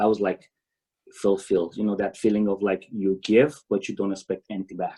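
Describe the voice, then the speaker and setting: In a Romanian accent, a man speaks with a dark, mellow tone, fairly low pitch and fairly even intonation. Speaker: tennis coach. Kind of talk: conference presentation. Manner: halting.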